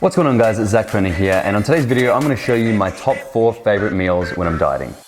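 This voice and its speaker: Music plays behind a man mumbling at a very fast pace with an Australian accent, his medium-pitched voice carrying lively intonation. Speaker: fitness youtuber. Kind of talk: casual vlog tutorial. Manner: casual, joking.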